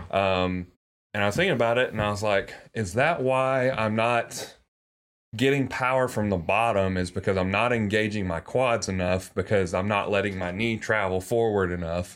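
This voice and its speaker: Recorded very cleanly against a silent background, a man with a fairly low pitch and ordinary pitch variation speaks with a slight Southern US accent. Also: moderate pace. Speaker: podcast host. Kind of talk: casual chat.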